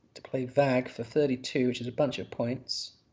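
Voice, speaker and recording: Speaking with a Yorkshire accent, a man uses a medium pitch and vocal fry at a moderate pace. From northern England, Yorkshire. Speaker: word game commentator. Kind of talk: live commentary. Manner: halting, frequent repeats and fillers.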